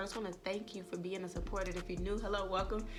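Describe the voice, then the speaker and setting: With music playing behind her and audible echo in the room, a woman speaks in an animated tone. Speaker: YouTuber. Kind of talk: vlog talk to camera. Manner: animated, casual.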